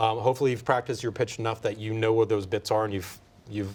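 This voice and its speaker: A man with an American accent talks at a very fast pace, his medium-pitched voice somewhat breathy and his intonation fairly even, on a very clean recording with a silent background. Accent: American, stands out locally. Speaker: documentary filmmaker and pitching mentor. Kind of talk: panel discussion.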